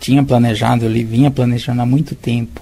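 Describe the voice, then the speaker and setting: Noticeable background noise sits under a man's voice as he talks. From interior of São Paulo state, Brazil. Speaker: public sector technical adviser. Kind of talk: interview.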